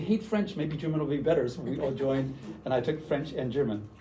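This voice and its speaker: A man with a Canadian accent talks at a very fast pace in a dark, mellow, somewhat breathy tone, with audible room echo. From western Canada, Vancouver. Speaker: university language teacher, workshop presenter. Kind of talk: workshop presentation. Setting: room with audience.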